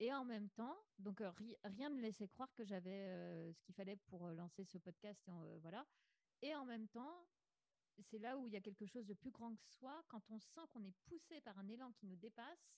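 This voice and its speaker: At a moderate pace, a woman with a fairly high pitch speaks with lively intonation and long, frequent pauses. The sound is dry and close, with no echo. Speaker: podcaster. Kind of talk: interview testimony.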